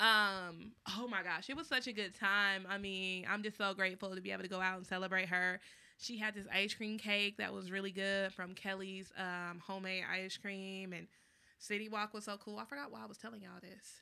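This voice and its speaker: On a very clean recording with a silent background, a woman speaks at a fairly quick pace. Her medium pitch holds fairly even intonation in a bright, sharp tone. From Texas, Dallas. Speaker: podcast co-host. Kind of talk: casual chat. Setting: studio.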